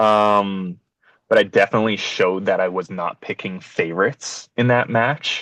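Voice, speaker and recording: An ordinary speaking voice from a man with a Canadian accent, fairly low in pitch, at a moderate pace with fairly even intonation. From Canada, Winnipeg. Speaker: dodgeball referee and stream organiser. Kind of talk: podcast interview. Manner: casual, many filler words.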